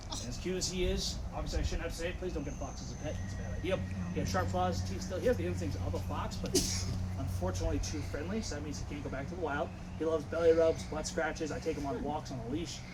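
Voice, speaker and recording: Loud and very fast, a man with a very deep, low pitch and very wide pitch swings is heard with audible room echo and noticeable background noise. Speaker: wildlife center tour guide. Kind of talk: guided tour talk.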